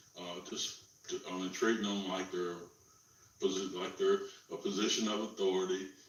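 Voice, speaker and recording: A man's very deep, low voice at a moderate pace with monotone, flat intonation, amid audible room echo and noticeable background noise. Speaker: interviewee sharing police encounter. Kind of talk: interview. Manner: calm.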